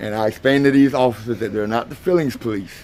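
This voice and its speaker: Pitched in the medium range, a man's voice races along at a very fast pace. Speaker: first amendment auditor. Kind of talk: explaining to camera; argument with police. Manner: loud.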